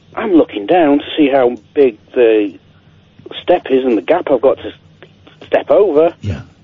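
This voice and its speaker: Speaking at a fairly slow pace, a man with a fairly high pitch uses lively intonation and takes long, frequent pauses. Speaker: caller. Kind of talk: casual chat. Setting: phone call.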